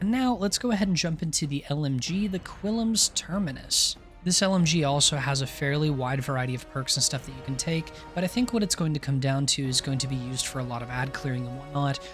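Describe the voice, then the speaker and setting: Over music in the background, a man talks at a very fast pace with a fairly high pitch. His intonation is lively. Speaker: gaming video creator. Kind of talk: gaming guide commentary. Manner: casual.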